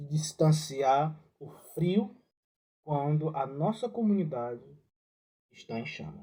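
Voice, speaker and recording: A man's fairly high voice in a dark, mellow tone, with ordinary pitch variation and a Ceará accent. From Ceará, Brazil. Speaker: religious educator. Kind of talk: reflective talk. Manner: halting.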